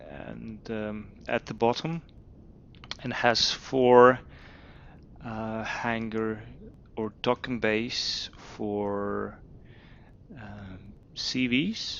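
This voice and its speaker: Very slowly and with long, frequent pauses, a man speaks at a medium pitch with fairly even intonation and big swings in loudness. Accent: non-native. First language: not English. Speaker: video game youtuber. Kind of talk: game tutorial walkthrough. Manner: hesitant, many fillers.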